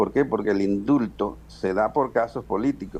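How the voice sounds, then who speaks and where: Vocal fry runs through a man's voice as he talks at a moderate pace with ordinary pitch variation. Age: 70s. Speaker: party president. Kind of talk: political interview.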